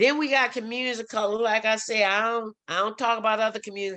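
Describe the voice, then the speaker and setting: The voice has a bright, sharp tone and a New Orleans accent, moving at a very fast pace. The background is quiet. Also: woman. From New Orleans, Louisiana. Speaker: workshop facilitator on race. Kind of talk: workshop talk. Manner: animated.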